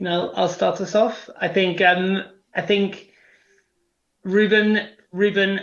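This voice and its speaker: In a British accent, a high-pitched man speaks very slowly in a flat monotone, leaving long, frequent pauses. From England (London area). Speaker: prospective parent, travel company worker. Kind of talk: interview.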